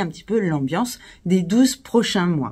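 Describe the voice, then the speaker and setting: Somewhat breathy speech comes through on a very clean recording against a silent background. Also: woman. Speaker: astrologer. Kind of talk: video presentation. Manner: hesitant with fillers.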